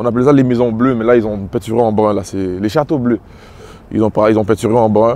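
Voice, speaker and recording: In a Quebec accent, a man speaks at a medium pitch and a fairly quick pace. His intonation stays fairly even. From Quebec, Montreal (Little Burgundy). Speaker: rapper. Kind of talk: casual interview walking tour.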